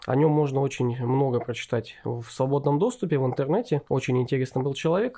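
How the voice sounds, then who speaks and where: A medium-pitched man's voice, dark and mellow in tone, with fairly even intonation. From Novosibirsk, Russia. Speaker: historian, museum co-founder. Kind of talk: casual interview.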